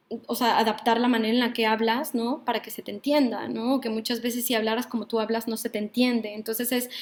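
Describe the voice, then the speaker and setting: A woman with a Mexican accent and fairly high pitch speaks at a very fast pace with hardly any pauses. Her intonation is monotone and flat. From Mexico, Mexico City. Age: 30s. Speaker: psychologist and workshop leader. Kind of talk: online workshop lecture. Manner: hesitant, with many fillers.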